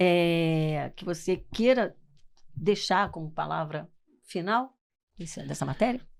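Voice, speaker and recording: Over a silent background in a very clean recording, the speaker uses lively intonation at a very slow pace with long, frequent pauses. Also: woman, fairly low pitch for a woman. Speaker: TV talk show host. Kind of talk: TV interview.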